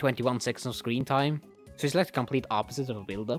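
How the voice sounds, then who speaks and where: Music plays behind a man whose intonation is lively. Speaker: movie reviewer. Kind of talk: casual movie review commentary.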